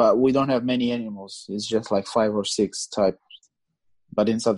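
In a Portuguese accent, the speaker talks at a fairly quick pace with fairly even intonation. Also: man. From Angola. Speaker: guest from abroad. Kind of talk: casual chat. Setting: remote call.

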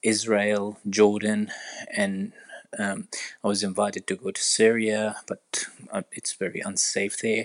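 A man's fairly low voice, fairly slow and monotone with flat intonation, in a dry, close recording with no echo. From Iraq. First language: Arabic. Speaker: orthopedic surgeon. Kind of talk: interview. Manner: hesitant, many fillers.

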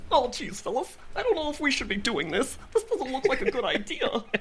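A put-on character voice, high-pitched and fairly quick, against clear background noise. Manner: nervous, hesitant.

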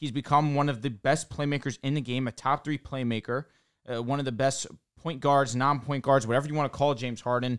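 A man's normal speaking voice, medium in pitch, at a fairly quick pace with fairly even intonation, on a very clean recording over a silent background. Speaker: podcast co-host. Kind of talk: casual sports podcast chat.

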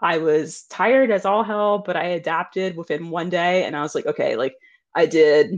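Speaking at a moderate pace, a woman uses ordinary pitch variation. The background is quiet. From US, Delaware. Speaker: travel planning mentor. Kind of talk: interview. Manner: casual.

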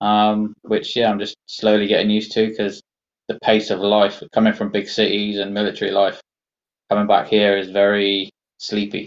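A man's fairly low voice in a West Country accent, monotone and flat, at a moderate pace. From England, Somerset. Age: 40s. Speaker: army veteran and amputee golfer. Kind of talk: interview, personal testimony.

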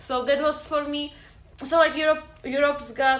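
A woman with a Czech accent speaks at a moderate pace amid noticeable background noise and audible room echo. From Czech Republic. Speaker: podcast guest. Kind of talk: casual chat.

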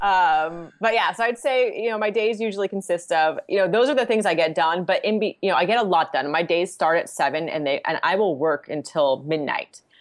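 A woman's plain, everyday voice with an American accent, medium in pitch, at a fairly quick pace with hardly any pauses, lively intonation and very even loudness. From Southern California. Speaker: financial planner. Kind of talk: casual interview chat.

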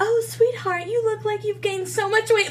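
A woman's squeaky, put-on character voice at an extremely high pitch and moderate pace, with clear background noise. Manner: sweet, sugary but cutting.

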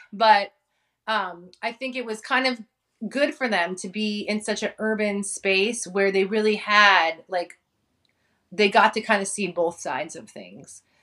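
A bright, sharp voice moves at a fairly slow pace with big swings in loudness against a quiet background. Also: woman, medium pitch for a woman, ordinary pitch variation. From US West Coast, San Francisco Bay Area (childhood in Hawaii). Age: 40s. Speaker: content creator, former preschool teacher. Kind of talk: casual chat.

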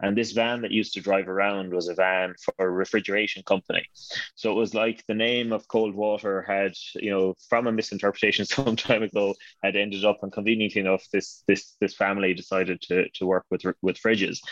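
A man with a western Irish accent, fairly low in pitch, monotone and flat, at a fairly quick pace, in a dry, close sound with no echo and a quiet background. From Ireland, Connemara, County Galway. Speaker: name studies scholar, dictionary co-author. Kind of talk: interview.

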